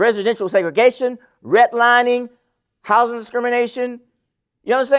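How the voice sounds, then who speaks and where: A man with an extremely high voice speaks in an animated tone at a fairly quick pace, breaking often with long pauses, on a very clean recording with a silent background. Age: 70s. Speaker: professor. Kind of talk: keynote lecture.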